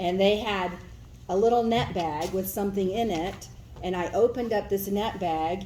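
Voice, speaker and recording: Audible echo fills the room. A woman speaks at medium pitch with fairly even intonation. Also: moderate pace. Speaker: daughter telling childhood story. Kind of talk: storytelling. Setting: family gathering, no working microphone. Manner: loud.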